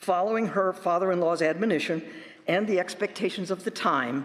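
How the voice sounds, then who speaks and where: Noticeable background noise accompanies a man with an American accent, high in pitch, talking at a fairly quick pace with ordinary pitch variation. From US Midwest, northwest Illinois farm area. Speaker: professor giving a talk. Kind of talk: sermon-style talk at a worship service.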